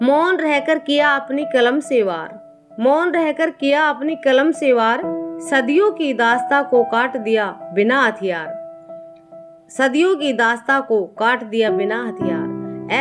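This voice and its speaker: Lively intonation carries over music playing in the background. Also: woman, high pitch for a woman. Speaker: poet. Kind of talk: poetry reading.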